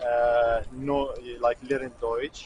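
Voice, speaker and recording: A man with a Kurdish accent against noticeable background noise. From Syria. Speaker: student. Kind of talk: street interview. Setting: outdoors. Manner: halting.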